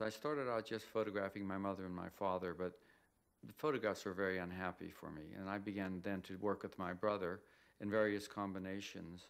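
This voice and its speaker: Through a very clean recording with a silent background, a man with a normal speaking voice and an American accent talks at a fairly quick pace, with fairly low pitch and fairly even intonation. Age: 60s. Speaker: photographer. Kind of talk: documentary interview.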